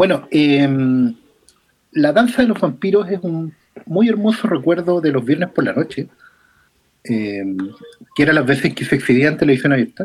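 A speaker with a Chilean accent talks at a moderate pace, breaking often into long pauses. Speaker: film podcast panelist. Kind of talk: casual chat.

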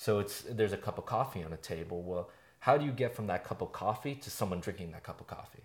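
A man rushes through his words very fast in a fairly low, somewhat breathy voice, with ordinary pitch variation and big swings in loudness. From San Francisco Bay Area. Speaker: podcast host, film student. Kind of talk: casual chat. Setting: friend's living room.

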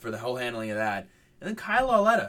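Bright and sharp in tone, a man speaks at medium pitch. His intonation is lively. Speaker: sports podcast co-host. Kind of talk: casual chat.

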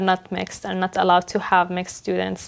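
Very fast in pace, a woman speaks at a medium pitch. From Jordan, then Montreal from age 13. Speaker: school social worker. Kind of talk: interview.

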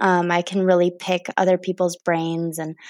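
A woman speaks at medium pitch. The sound is dry and close with no echo, on a very clean recording with a silent background. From Wisconsin, US Upper Midwest. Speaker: political organizer. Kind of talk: casual interview. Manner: hesitant, frequent filler words.

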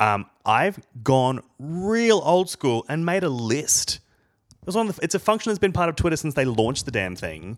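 With an Australian accent, a man talks at a moderate pace. His fairly high pitch moves in very wide swings. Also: very clean recording, silent background. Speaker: podcast co-host. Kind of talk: casual chat.

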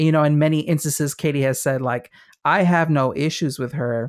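On a very clean recording with a silent background, a man with a fairly high pitch speaks fairly quickly in a flat, monotone delivery. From Mexican and Puerto Rican heritage. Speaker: podcast host. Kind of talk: casual chat.

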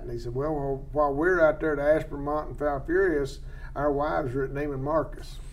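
A man with an American accent speaks at a moderate pace, his pitch fairly high. Noticeable background noise runs under his voice. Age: 60s. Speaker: wildlife biologist host. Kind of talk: casual expert interview. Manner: folksy, humorous.

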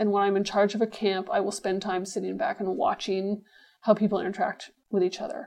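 A woman speaks fairly quickly with an unremarkable speaking voice. Her pitch is medium and her intonation fairly even. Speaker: mining executive. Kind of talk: interview.

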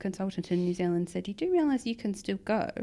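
A woman with a plain, everyday voice talks at a medium pitch with lively intonation. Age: 30s. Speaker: kidney transplant patient. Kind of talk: interview.

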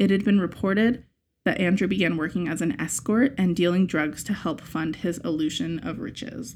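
A woman at a medium pitch and moderate pace, in a normal speaking voice. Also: ordinary pitch variation. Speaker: podcast co-host. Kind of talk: casual chat.

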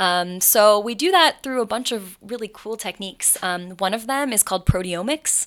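With an American accent and a plain, everyday voice, a woman talks at a moderate pace with ordinary pitch variation in a very clean recording with a silent background. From Appalachian Ohio, Athens. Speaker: graduate student researcher. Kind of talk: casual interview.

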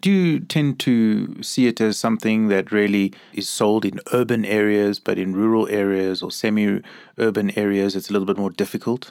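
In a very clean recording with a silent background, a man with a plain, everyday voice speaks at a moderate pace, his fairly low pitch carrying fairly even intonation. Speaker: podcast host and Jesuit priest. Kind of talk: interview. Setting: in-person recording.

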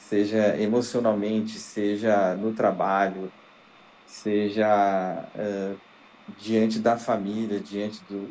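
At a very slow pace, a man speaks in a fairly low pitch with monotone, flat intonation. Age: 40s. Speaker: podcast co-host. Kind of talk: casual chat.

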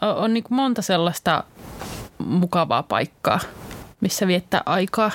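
The speech goes at a very slow pace with long, frequent pauses. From Eastern Finland, Joensuu. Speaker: student podcast co-host. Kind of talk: casual chat. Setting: studio.

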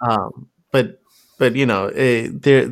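Lively intonation runs through a man's medium-pitched voice, which carries vocal fry. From Pakistan, Lahore. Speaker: podcast guest, music fan. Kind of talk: casual chat.

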